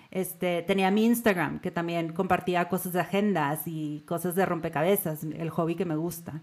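With hardly any pauses, a woman speaks at a moderate pace in a fairly low voice. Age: 40s. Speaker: podcaster and blogger. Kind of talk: interview conversation. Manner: animated.

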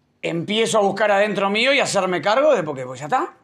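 A man's high-pitched voice at a fairly quick pace. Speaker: podcast host. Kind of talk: casual chat.

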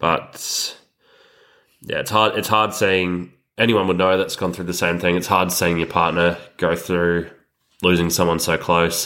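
A man with an Australian accent speaks in a very deep, low pitch with a bright, sharp tone and monotone, flat intonation. He goes at a fairly slow pace with long, frequent pauses, on a very clean recording with a silent background. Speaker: podcast co-host, fly-in fly-out worker. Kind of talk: casual chat.

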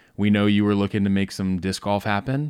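On a very clean recording with a silent background, a man with an American accent talks at a fairly quick pace in a normal speaking voice with fairly low pitch. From US South, Georgia. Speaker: podcast co-host. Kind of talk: casual chat.

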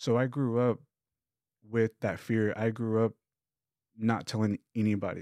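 With an American accent, a man speaks at a fairly slow pace in a medium-pitched voice with a dark, mellow tone, flat monotone intonation, very even loudness and long, frequent pauses, on a dry, close recording with no echo, very clean and with a silent background. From Texas, Lubbock. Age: 30s. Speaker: YouTuber sharing personal mental health story. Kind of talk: interview testimony.

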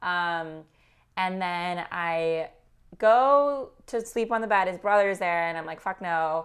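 A woman with a Californian accent speaks very slowly in a fairly low voice, on a very clean recording with a silent background. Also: ordinary pitch variation. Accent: Californian American. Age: 20s. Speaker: marketing strategist. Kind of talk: casual chat.

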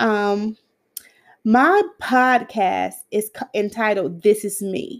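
A woman's very slow, fairly high-pitched speech with ordinary pitch variation on a very clean recording with a silent background. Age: 50s. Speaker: podcaster. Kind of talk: casual monologue. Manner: halting.

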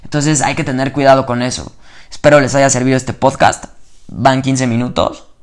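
Medium-pitched male voice with a Mexican accent, monotone, flat intonation and a moderate pace. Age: 20s. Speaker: podcaster. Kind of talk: motivational monologue. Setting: at home at night before bed. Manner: casual, slangy and spontaneous.

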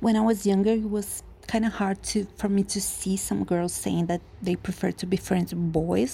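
A woman speaks in a Portuguese accent. Her pace is moderate. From Brazil, Curitiba. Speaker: listener leaving a voice message. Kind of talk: voice message. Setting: at home.

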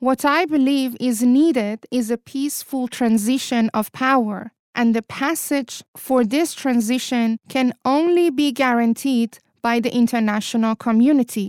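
The speaker has a Persian accent and a fairly slow pace, with hardly any pauses and very even loudness. The sound is dry and close, with no echo. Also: woman, high pitch for a woman, ordinary pitch variation. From Iran. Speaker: podcast host and political commentator. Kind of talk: scripted opinion monologue.

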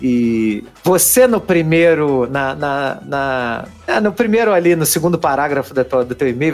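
Lively intonation at a fairly slow pace with hardly any pauses, over music in the background. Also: man. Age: 40s. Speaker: podcast host. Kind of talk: casual chat.

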